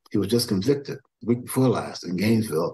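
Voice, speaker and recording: Speaking fairly quickly, a man uses a somewhat breathy, medium-pitched voice with ordinary pitch variation. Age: 80s+. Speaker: historian and activist. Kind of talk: interview. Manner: energetic, youthful-sounding.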